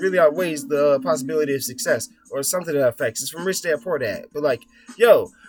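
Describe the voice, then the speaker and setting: Noticeable background noise sits behind a man talking very fast at a fairly high pitch. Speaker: vlogger. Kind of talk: casual monologue vlog. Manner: animated.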